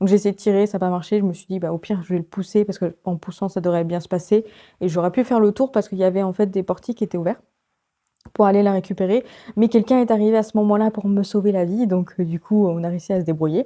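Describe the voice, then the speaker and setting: A soft-spoken woman talks at a very fast pace with a medium pitch. Her tone is dark and mellow, and her intonation fairly even. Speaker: book vlogger. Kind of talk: casual vlog talk. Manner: hesitant, many fillers.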